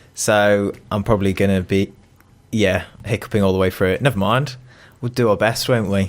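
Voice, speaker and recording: A man speaks with a British accent and fairly even intonation. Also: fairly low pitch for a man, moderate pace. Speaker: podcast co-host. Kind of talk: casual chat.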